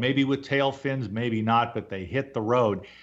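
A man with an unremarkable speaking voice talks at a moderate pace with fairly even intonation against a quiet background. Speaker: radio host. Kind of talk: radio interview.

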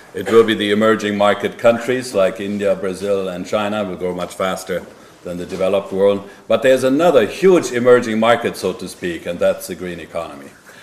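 Over noticeable background noise, a man with a fairly low pitch talks at a fairly quick pace with hardly any pauses and big swings in loudness. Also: ordinary pitch variation. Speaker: bank executive. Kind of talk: panel interview.

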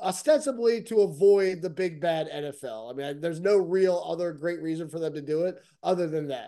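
Here a man talks with an American accent. His voice is high in pitch, with a dark, mellow tone. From United States. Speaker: soccer betting podcast co-host. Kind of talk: casual chat.

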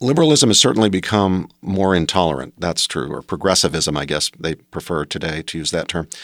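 A man with a very deep, low pitch and an American accent, fairly quick in pace with lively intonation and hardly any pauses, in a dry, close sound with no echo on a very clean recording with a silent background. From West Virginia, Appalachia. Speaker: law professor. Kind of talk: interview.

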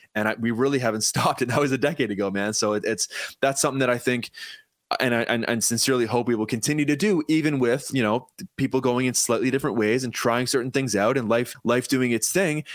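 A Canadian accent at a very fast pace, with ordinary pitch variation, very even loudness and a very clean recording with a silent background. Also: man, medium pitch for a man. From Ontario, Canada (Paris). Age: 30s. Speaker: drummer. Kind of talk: casual chat.

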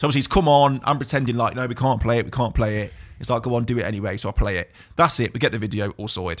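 In an East Midlands accent, a man speaks at a very fast pace with medium pitch and ordinary pitch variation. The recording is very clean, with a silent background. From Burton upon Trent, English East Midlands. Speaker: DJ and music producer. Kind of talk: casual chat. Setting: studio.

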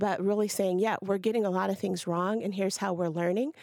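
In a very clean recording with a silent background, a woman with an American accent uses a normal speaking voice at medium pitch, fairly quick pace and ordinary pitch variation. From Ohio. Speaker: state representative. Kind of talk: political discussion.

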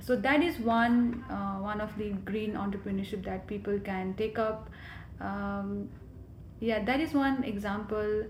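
A woman speaks fairly slowly with a fairly high pitch and ordinary pitch variation. Audible room echo and noticeable background noise are present. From Nepal, Kathmandu. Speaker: graduate student, climate advocate. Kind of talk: interview.

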